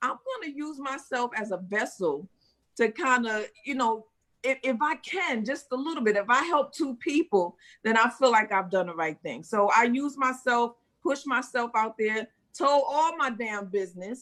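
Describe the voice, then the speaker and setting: A woman with a New York accent speaks at a moderate pace in a high pitch, her tone animated and her intonation lively. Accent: New York (Bronx). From US Northeast, Bronx, New York. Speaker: actress and first-time author. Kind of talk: interview.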